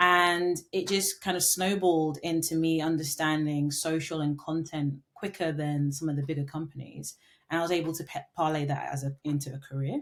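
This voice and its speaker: In a London accent, a woman speaks at a moderate pace with very deep, low pitch and fairly even intonation. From London, England. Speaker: marketing consultant and entrepreneur. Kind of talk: podcast interview. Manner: filler-heavy, with frequent ums and restarts.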